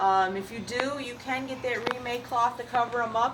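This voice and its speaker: A woman talks at a moderate pace. Audible room echo and noticeable background noise fill the recording. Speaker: seed shop owner answering gardening questions. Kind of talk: casual video answering questions. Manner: halting, many fillers.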